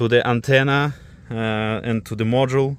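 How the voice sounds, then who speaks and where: A man speaks with a non-native accent at medium pitch. His intonation is fairly even. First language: not English. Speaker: car DIY vlogger. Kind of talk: tutorial. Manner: halting.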